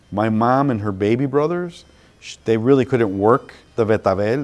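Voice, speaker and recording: A man's pitch moves a normal amount as he talks, with music behind him. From Chicago, US. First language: Spanish. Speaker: museum curator. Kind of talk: interview testimony. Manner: halting with fillers.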